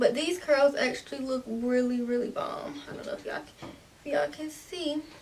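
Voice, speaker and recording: Light background noise behind a woman at a moderate pace. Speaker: beauty vlogger. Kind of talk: tutorial. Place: home room.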